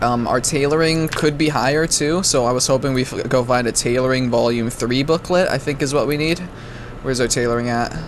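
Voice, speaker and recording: Over noticeable background noise, a man at medium pitch talks at a fairly quick pace with fairly even intonation. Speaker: gaming YouTuber. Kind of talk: gameplay commentary. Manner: fast; casual, stumbling with self-corrections.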